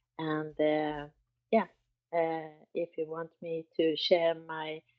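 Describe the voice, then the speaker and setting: This woman talks at a very slow pace in a Swedish accent, her pitch fairly low. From Sweden. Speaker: artist and project co-founder. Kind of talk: casual chat. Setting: live X Space. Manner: halting.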